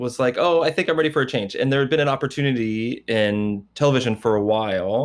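A man with a plain, everyday voice speaks at a fairly quick pace with ordinary pitch variation. The background is quiet. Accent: American. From US Midwest, Indiana. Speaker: projection designer. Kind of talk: interview conversation.

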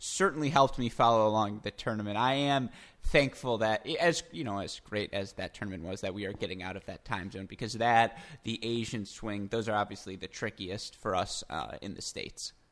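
A man's bright, sharp tone comes with big swings in loudness. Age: 20s. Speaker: podcast host. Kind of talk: interview conversation about tennis.

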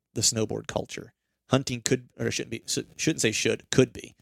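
A man with a medium pitch rattles along at a very fast pace with fairly even intonation. Vocal fry shows up in his voice, and the sound is dry and close with no echo. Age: 40s. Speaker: deer hunting podcast host. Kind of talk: casual chat.

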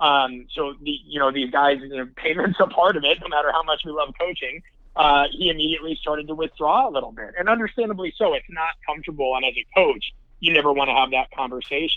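This man's voice sits fairly high. He delivers his words very fast. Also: ordinary pitch variation. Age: 30s. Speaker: strength and conditioning coach. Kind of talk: casual interview.

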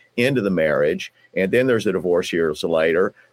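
The voice has a Southern US accent and moves at a moderate pace, recorded with a dry, close sound and no echo. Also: man. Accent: Southern twang. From US South, southeastern Kentucky. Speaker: divorce lawyer. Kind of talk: interview. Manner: halting, repeats words.

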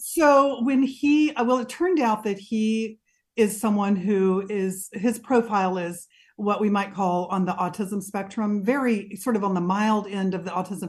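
Over a quiet background, a woman with a somewhat breathy, medium-pitched voice speaks at a moderate pace with ordinary pitch variation. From Mississippi. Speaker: mental health counselor. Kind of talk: interview.

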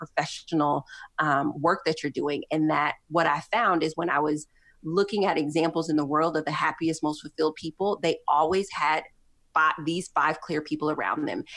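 A woman with a very deep, low pitch is heard in a very clean recording with a silent background. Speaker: motivational speaker and entrepreneur. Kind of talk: casual chat.

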